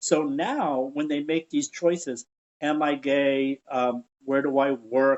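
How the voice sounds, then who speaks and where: A man with a plain, everyday voice, fairly high pitch and ordinary pitch variation. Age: 60s. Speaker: educator and theater veteran, podcast guest. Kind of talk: interview conversation.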